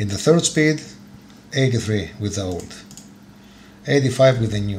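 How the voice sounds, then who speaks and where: A man's medium-pitched voice with ordinary pitch variation, in audible room echo. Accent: Greek. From Greece. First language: Greek. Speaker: motorcycle YouTuber. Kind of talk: tutorial. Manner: halting, many fillers.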